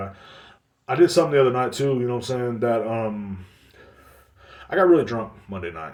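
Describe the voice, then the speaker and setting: Speaking at a very fast pace with lively intonation, a man with a medium pitch is heard with audible room echo. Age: 30s. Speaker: podcast host. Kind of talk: casual monologue. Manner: animated.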